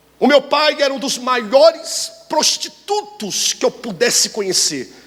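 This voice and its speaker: Noticeable background noise behind a man speaking with very wide swings in pitch. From Brazil, Rio de Janeiro. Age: 30s. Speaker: pastor. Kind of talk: sermon.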